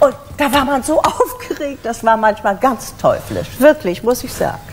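Light background noise sits under a woman speaking at a moderate pace with high pitch and lively intonation. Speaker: voice actress and stage actress (dubbed German television series). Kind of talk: interview answer. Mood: lively, humorous storytelling. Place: studio.

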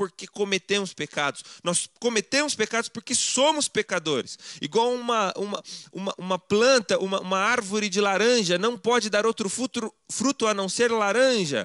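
Against a quiet background, the speech comes at a moderate pace with ordinary pitch variation and a dry sound with no echo. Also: man. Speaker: preacher. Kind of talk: sermon. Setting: church. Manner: formal, didactic; emphatic, persuasive. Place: home room.

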